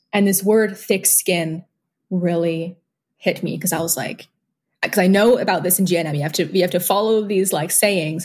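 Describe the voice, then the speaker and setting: With a plain, everyday voice, a woman speaks at a moderate pace, fairly low in pitch and fairly even in intonation. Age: 20s. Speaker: organic livestock farmer and birth attendant. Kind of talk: casual chat.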